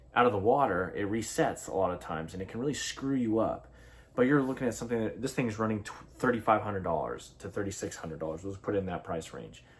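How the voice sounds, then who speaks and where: Amid noticeable background noise, a man with a fairly low pitch talks at a very fast pace, with ordinary pitch variation and big swings in loudness. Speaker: fishing channel host. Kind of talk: casual product review talk. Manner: halting, many fillers.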